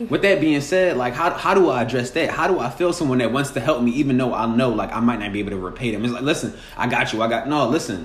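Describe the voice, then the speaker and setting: A man at medium pitch, very fast and lively in intonation, with audible room echo and noticeable background noise. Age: 20s. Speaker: podcast host. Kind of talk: casual chat.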